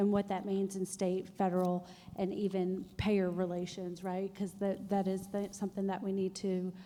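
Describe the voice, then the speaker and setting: A woman speaks at a moderate pace in a dark, mellow tone. Her medium-pitched voice stays monotone and flat. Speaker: health policy nonprofit director. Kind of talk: panel discussion. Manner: loud.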